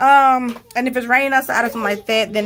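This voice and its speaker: There is noticeable background noise as a woman speaks. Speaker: homeschooling mom and vlogger. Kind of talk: casual tutorial vlog.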